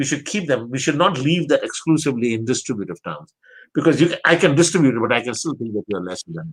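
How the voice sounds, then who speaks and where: Full of vocal fry, a man's fairly high voice races at a very fast pace with lively intonation and big swings in loudness. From Pakistan. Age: 70s. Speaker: theology professor. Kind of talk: interview conversation. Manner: repetitive, halting restarts.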